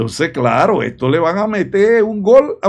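Against a quiet background, a man's high-pitched voice rises and falls with lively intonation. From Panama. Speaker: political commentator. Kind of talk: video commentary. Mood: indignant, critical.

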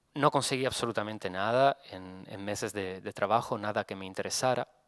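Over a quiet background, a man speaks at a moderate pace with a fairly low pitch and ordinary pitch variation. His loudness swings widely, and the sound is dry with no echo. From Italy. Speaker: photographer. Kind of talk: lecture. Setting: stage with audience. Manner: halting. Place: hall. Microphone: podium.

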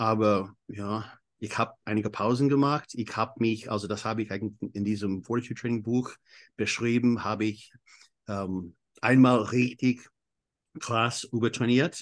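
Over a quiet background, a man with an English accent talks at a fairly slow pace in a medium pitch. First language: English (speaking German). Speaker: exercise physiologist and coach. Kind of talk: interview. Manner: halting.

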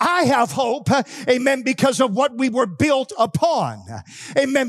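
Over music in the background, a man with an American accent speaks at a fairly slow pace. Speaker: pastor. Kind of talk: fiery patriotic holiday sermon with call-and-response. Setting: church. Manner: impassioned, rising exhortation punctuated by 'amen' asides; call-and-response, urging shouts from congregation.

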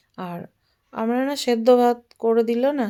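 A woman speaks with a dark, mellow tone. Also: very clean recording, silent background. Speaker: lifestyle vlogger. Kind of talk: casual vlog talk.

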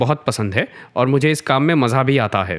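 A man with a plain, everyday voice at medium pitch speaks at a moderate pace in a very clean recording with a silent background. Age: 20s. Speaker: viewer posing a question. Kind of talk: reading a question aloud.

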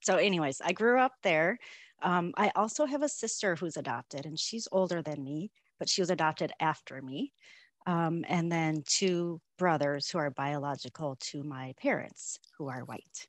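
A woman with an American accent speaks at a fairly low pitch and a moderate pace. The sound is dry with no echo, and the background is quiet. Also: lively intonation. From Minnesota, US. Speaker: Korean adoptee, corporate employee. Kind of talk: interview. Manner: hesitant with fillers. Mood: warm, reflective. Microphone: video call.

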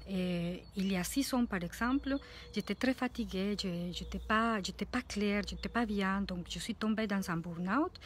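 A woman with a Spanish accent talks at a fairly slow pace in a somewhat breathy voice, with ordinary pitch variation and light background noise. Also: medium pitch for a woman, dry sound with no echo. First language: Spanish (speaking French). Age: 40s. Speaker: life coach; coach. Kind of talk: vlog monologue. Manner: halting. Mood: warm, reflective. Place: garden. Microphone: phone near.

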